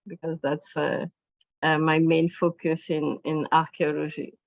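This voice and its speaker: A woman talks in a French accent. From France. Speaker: archaeologist and museum director. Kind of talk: academic talk. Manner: halting.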